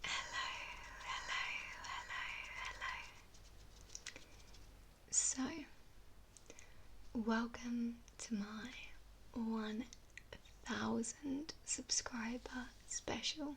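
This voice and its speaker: Soft-spoken delivery at a very slow pace. Long, frequent pauses break it up. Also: woman. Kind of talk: ASMR Q&A, soft-spoken talk to camera.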